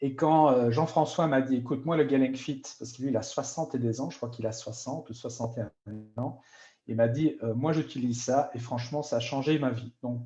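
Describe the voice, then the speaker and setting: A man's somewhat breathy, dark, mellow voice at medium pitch, with fairly even intonation and a fairly quick pace. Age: 50s. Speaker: product user testimonial. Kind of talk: sales pitch. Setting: live stream.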